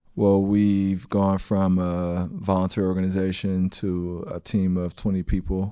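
Over a quiet background, a man with a very deep, low, dark and mellow voice talks at a fairly slow pace in a monotone, flat delivery with hardly any pauses. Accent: American. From San Francisco, US. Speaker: school board president and nonprofit CEO. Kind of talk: interview.

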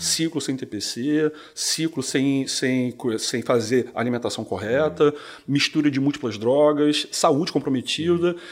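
This man has an unremarkable speaking voice with a fairly high pitch. He talks at a fairly slow pace with ordinary pitch variation. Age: 40s. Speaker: physician. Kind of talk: casual interview. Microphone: too far from the mic.

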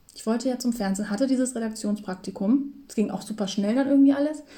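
A somewhat breathy woman's voice at a very fast pace. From northern Germany, near Hamburg. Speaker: podcast co-host. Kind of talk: casual chat. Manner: filler-heavy, many ähm.

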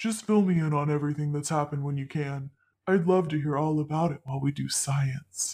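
The voice sits at a low-to-middle pitch with fairly even intonation and a fairly quick pace. The recording is very clean, with a silent background. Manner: warm, teasing.

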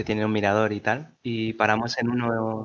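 Here a man speaks at a fairly quick pace. His pitch is fairly low. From Peru, Lima. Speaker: podcast co-host. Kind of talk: casual chat.

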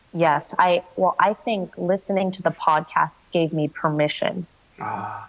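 Over noticeable background noise, a woman with a fairly low pitch speaks at a fairly slow pace, her intonation fairly even but her loudness swinging widely. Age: 20s. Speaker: startup founder and CEO. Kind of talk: coaching conversation.

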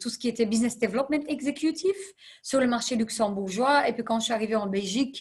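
A woman talks at a fairly quick pace in a somewhat breathy, fairly high voice. Her pitch varies in an ordinary way, and the background is quiet. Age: 30s. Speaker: non-profit executive. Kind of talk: interview.

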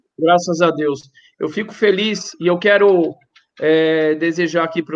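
At a moderate pace, a man talks with fairly high pitch and fairly even intonation. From Brazil. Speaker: rabbi. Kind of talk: panel discussion. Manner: impassioned.

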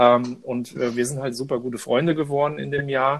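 In a quiet background, a man with a plain, everyday voice keeps a medium pitch and fairly even intonation. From Frankfurt am Main, Hesse. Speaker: podcast co-host. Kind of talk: casual chat.

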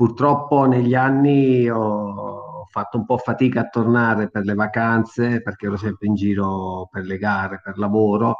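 This man keeps a fairly slow pace. His intonation is fairly even. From Tramonti, Amalfi Coast, Campania, southern Italy. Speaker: racing driver and test driver. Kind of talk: radio interview.

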